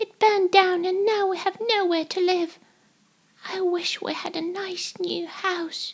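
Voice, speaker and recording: In a put-on character voice, a woman speaks fairly slowly at an extremely high, squeaky pitch. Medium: read story.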